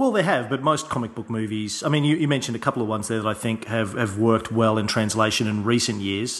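With an Australian accent, a man talks at a medium pitch and ordinary pitch variation over noticeable background noise. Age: 30s. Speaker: podcast host. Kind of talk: interview conversation.

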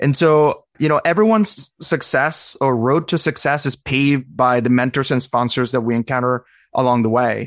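A man has a normal speaking voice at medium pitch, with ordinary pitch variation, a moderate pace, hardly any pauses and very even loudness, in a dry, close sound with no echo. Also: very clean recording, silent background. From Venezuela, raised in Arizona. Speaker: cardiology fellow. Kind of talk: interview conversation.

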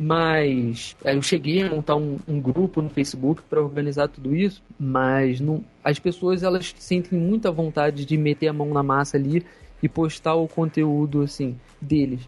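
At a fairly slow pace, a man with a fairly high voice keeps his loudness very even. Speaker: gaming Facebook page admin. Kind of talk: casual chat. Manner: halting.

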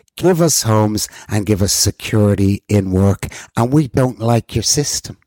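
This man's voice has a dark, mellow tone and a fairly low pitch, with ordinary pitch variation at a moderate pace. The recording is very clean and dry, with a close sound, a silent background and no echo. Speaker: podcast co-host.

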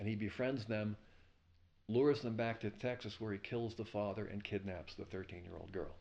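This is a normal speaking voice with an American accent. It keeps a moderate pace and fairly even intonation. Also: man, fairly low pitch for a man. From US Northeast, Levittown, New York. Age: 60s. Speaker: novelist and retired lawyer. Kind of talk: interview.

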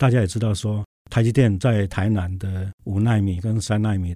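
In a Taiwanese accent, a man speaks at a moderate pace with a fairly low pitch, a dark, mellow, somewhat breathy tone and monotone, flat intonation on a very clean recording with a silent background. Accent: Taiwanese Mandarin. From Taiwan, Tainan. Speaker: university president. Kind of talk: interview.

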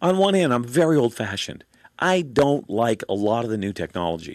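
A man talks with very wide pitch swings. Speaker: talk radio host. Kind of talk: talk radio monologue. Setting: studio. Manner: fast.

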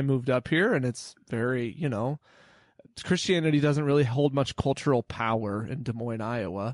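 Here is an unremarkable speaking voice. The pace is moderate. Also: man. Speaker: small church pastor and podcaster. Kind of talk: casual interview.

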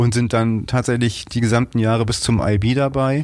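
At a moderate pace, a man with a normal speaking voice and a medium pitch keeps his intonation fairly even. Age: 50s. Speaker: school business manager. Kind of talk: interview. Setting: office.

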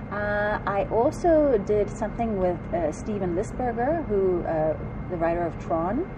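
Speaking fairly slowly with a strong South African accent, a woman uses a medium pitch and lively intonation over noticeable background noise. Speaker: actress. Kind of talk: interview. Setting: fan convention.

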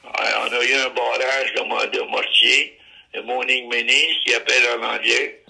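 Fairly slow speech from a man, with noticeable background noise throughout. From Ottawa, Canada. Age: 90s. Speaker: war veteran. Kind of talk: oral history testimony. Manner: halting.

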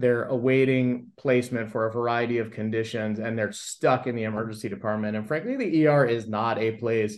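With an American accent, a man talks at a moderate pace and medium pitch in a monotone, flat intonation. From US West Coast (Los Angeles, San Fernando Valley). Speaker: emergency physician. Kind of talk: interview.

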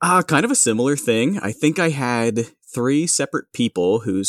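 Recorded very cleanly against a silent background, with a dry, close sound and no echo, a man has an ordinary speaking voice, lively intonation and a fairly slow pace. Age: 30s. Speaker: podcast guest. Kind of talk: casual chat.

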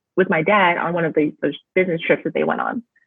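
A woman speaks with an American accent at a fairly low pitch. Her pitch varies an ordinary amount. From US West Coast, Bay Area California. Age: 30s. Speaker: travel agent and blogger. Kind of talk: interview.

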